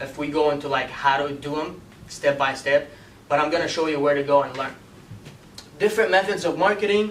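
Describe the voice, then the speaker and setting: A man with a fairly high pitch talks at a fairly quick pace with ordinary pitch variation, over noticeable background noise and audible room echo. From Iraq, moved to US at twelve. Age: 20s. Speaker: marketing instructor. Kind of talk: lecture. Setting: classroom with audience. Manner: casual, filler-heavy.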